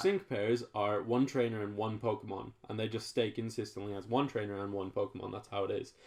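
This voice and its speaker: This man has an ordinary speaking voice with a fairly low pitch. His intonation is fairly even, and he leaves hardly any pauses. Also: fairly quick pace. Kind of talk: casual podcast conversation.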